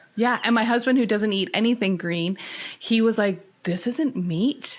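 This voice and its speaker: Amid noticeable background noise, a woman with a Canadian accent speaks at a moderate pace, fairly high in pitch with ordinary pitch variation. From Canada. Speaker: mental health and care ministry advocate. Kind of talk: podcast interview.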